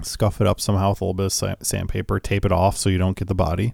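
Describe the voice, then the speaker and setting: With a Midwestern accent, a man speaks at a fairly low pitch in a dark, mellow tone with fairly even intonation, in a very clean recording with a silent background. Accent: American Midwest. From US Midwest. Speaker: podcast host, guitar gear. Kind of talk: casual chat. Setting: studio.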